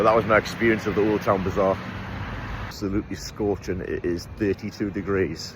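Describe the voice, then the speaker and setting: A man with an English accent speaks at a fairly quick pace, his pitch fairly low and his intonation fairly even. Noticeable background noise runs under the recording. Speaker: travel vlogger. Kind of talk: casual vlog narration. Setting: outdoors. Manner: casual, chatty.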